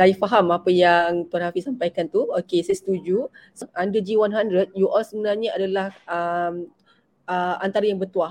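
At a fairly slow pace, a woman speaks in an unremarkable speaking voice at medium pitch with fairly even intonation. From Malaysia, Selangor. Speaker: webinar moderator, gold dealer. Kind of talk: online panel moderation.

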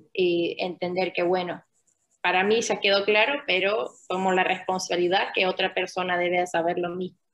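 A woman with an Argentine accent speaks with fairly even intonation. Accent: Argentine-tinged Spanish. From Finland. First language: Finnish (speaking Spanish). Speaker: UN refugee protection officer. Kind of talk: interview.

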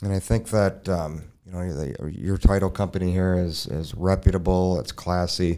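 A man with an American accent speaks at a moderate pace in a very deep, low pitch, his dark, mellow tone carrying fairly even intonation with hardly any pauses, on a very clean recording with a silent background. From Minnesota (Burnsville). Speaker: mortgage consultant. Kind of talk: casual interview.

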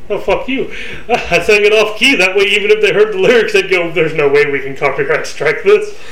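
A man speaks at a fairly quick pace, with noticeable background noise behind him. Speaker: podcast host. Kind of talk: heated, profane banter. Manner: loud, shouty, animated; fast, laughing, insult-trading.

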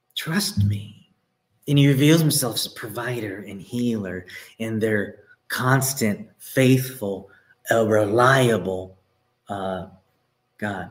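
In a room with audible echo, a man talks at a very slow pace with long, frequent pauses and big swings in loudness. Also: medium pitch for a man, ordinary pitch variation. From Texas. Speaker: pastor. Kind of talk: sermon.

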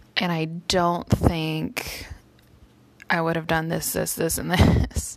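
A woman speaks at a very slow pace and a fairly low pitch, her intonation monotone and flat. Noticeable background noise runs behind her. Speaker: vlogger and teacher. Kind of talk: personal vlog update.

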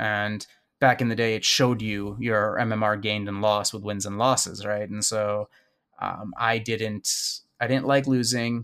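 Here a man talks in a Chicago accent at a fairly low pitch. His intonation is monotone and flat. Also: moderate pace. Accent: Chicago American. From US Midwest, Chicago. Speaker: gaming community organizer. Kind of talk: casual interview.

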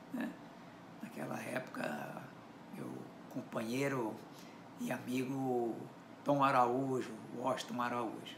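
Over noticeable background noise and audible room echo, a man speaks very slowly with long, frequent pauses. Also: medium pitch for a man, ordinary pitch variation. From Minas Gerais, Brazil (Belo Horizonte). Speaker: writer. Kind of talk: interview.

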